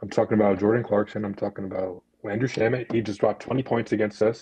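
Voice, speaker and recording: A man does a put-on character voice, raspy and fairly low in pitch. He delivers it at a very fast pace in a monotone, flat intonation. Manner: fast talking.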